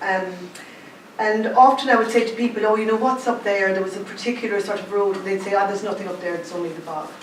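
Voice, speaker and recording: Talking at a very fast pace in a Cork accent, a woman with a medium pitch keeps fairly even intonation but big swings in loudness, with audible room echo and noticeable background noise. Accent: Cork Irish, noticeable. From Ireland, County Cork (Clonakilty). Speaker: artist. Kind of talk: artist talk. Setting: exhibition launch with audience.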